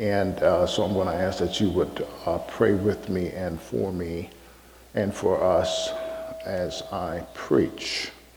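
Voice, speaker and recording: There is noticeable background noise as a man with an American accent speaks at a fairly low pitch. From US Midwest, Chicago. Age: 60s. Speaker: pastor and seminary professor. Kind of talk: sermon. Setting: church with congregation.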